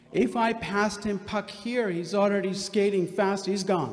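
A man is speaking. His pace is fairly slow. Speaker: guest lecturer. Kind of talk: lecture. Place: hall. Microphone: podium.

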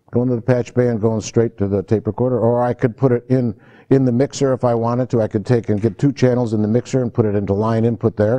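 Against a quiet background, a man with a dark, mellow tone speaks at a fairly quick pace with fairly even intonation. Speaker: audio recording instructor. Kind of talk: lecture. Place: classroom. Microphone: lapel.

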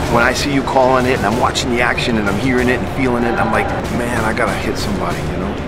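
A man talks very fast with loud background noise all around. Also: dry sound with no echo. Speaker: wrestling commentator, former wrestler. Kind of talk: promo trailer, commentary talk. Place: hall.

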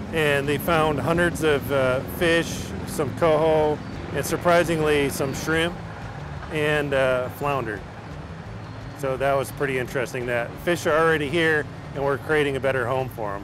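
Long, frequent pauses break up speech at a moderate pace, with fairly even intonation, a dry sound with no echo and noticeable background noise. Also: man. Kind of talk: interview answer. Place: open country.

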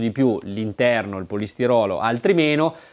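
A man's voice with ordinary pitch variation. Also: quiet background. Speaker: motorcycle video presenter. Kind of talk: on-location interview. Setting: motorcycle shop. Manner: animated. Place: shop. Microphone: lapel.

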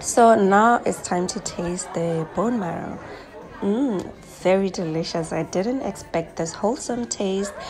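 A woman at a fairly slow pace with ordinary pitch variation, clear music in the background. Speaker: travel vlogger. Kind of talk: casual vlog chat. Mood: pleased, relaxed. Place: cafe. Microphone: phone near.

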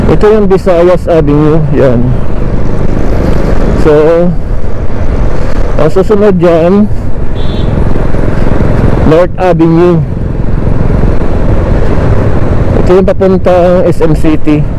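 Long, frequent pauses mark the speech, which has a dry sound with no echo and noticeable background noise. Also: man. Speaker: motorbike rider vlogger. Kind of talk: casual vlog chat. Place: motorbike.

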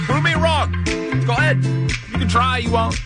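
A man at a moderate pace over loud background music. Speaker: radio DJ. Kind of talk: radio DJ talk break. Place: studio. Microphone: studio mic.

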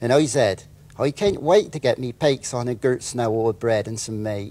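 At a moderate pace, a man talks with a West Country accent. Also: ordinary pitch variation. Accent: West Country (Wessex). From Wiltshire, England. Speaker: author. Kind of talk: interview answer. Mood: amused, relaxed. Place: studio.

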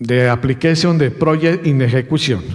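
A man with a Colombian accent and ordinary pitch variation against a quiet background. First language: Spanish. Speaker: university researcher presenting at a conference. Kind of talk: conference presentation. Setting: conference stage with audience. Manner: halting. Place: hall. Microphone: podium.

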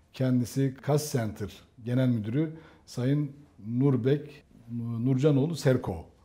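Very slowly and with long, frequent pauses, a man speaks at a medium pitch in a dark, mellow, somewhat breathy tone. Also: ordinary pitch variation. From Turkey. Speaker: tech program host; interview host. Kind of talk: interview. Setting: on location outside the studio. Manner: halting. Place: home room. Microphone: lapel.

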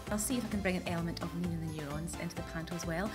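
Clear music plays in the background as a woman talks at a very fast pace. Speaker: actress and TV presenter. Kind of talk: interview answer. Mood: cheerful, bubbly. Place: street. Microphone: handheld.

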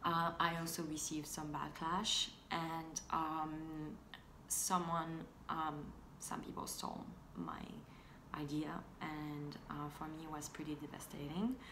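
A woman with a non-native accent speaks at a very slow pace in a very deep, low voice, her intonation monotone and flat, with noticeable background noise. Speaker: fashion and tech blogger. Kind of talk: casual talk to camera. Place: home room. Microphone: phone near.

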